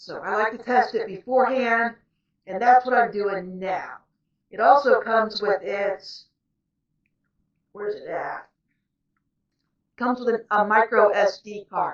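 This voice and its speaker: A woman shouts in a fairly high voice with fairly even intonation, big swings in loudness, a fairly slow pace, and long, frequent pauses. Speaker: author and vlogger. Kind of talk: casual cooking vlog. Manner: loud, near-yelling to be heard.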